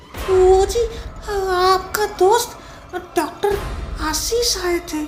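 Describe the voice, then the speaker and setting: An extremely high-pitched, put-on character voice at a very slow pace, with clear background noise. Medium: read story. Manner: meek, hesitant.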